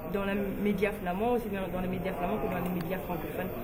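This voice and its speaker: Against noticeable background noise and audible room echo, a woman speaks with a West African accent. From Guinea, then Belgium. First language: Fula (speaking French). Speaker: beauty pageant runner-up and model. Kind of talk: interview. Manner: hesitant, with many fillers.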